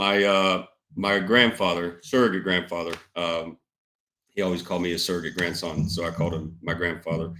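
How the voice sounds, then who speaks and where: The speaker has a Southern US accent and fairly even intonation. The pace is moderate. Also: man. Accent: Southern US (Georgia). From Georgia, US South (Douglasville, west of Atlanta). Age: 20s. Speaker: business owner. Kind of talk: casual interview chat.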